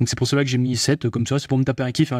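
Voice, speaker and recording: The sound is dry and close with no echo. The recording is very clean, with a silent background. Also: man. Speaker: AI tutorial youtuber. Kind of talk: tutorial. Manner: speeds up as he goes, gets fired up; fast.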